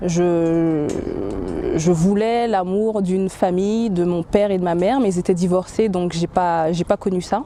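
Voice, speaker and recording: Amid noticeable background noise, a woman with a medium pitch speaks at a very slow pace. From French Antilles. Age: 30s. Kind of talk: testimony. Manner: halting, many hesitations.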